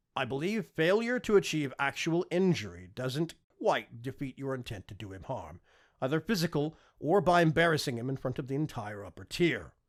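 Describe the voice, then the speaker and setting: A man's put-on character voice, strained and fairly high, with very wide pitch swings, big swings in loudness and a moderate pace, on a very clean recording with a silent background. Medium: read story. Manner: calm, restrained, formal.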